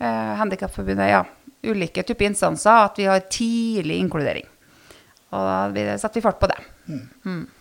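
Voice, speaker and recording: The pace is fairly quick. Long pauses come often. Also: woman. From Nærøysund, Trøndelag coast, Norway. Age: 30s. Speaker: local politician, mayoral candidate. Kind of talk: interview.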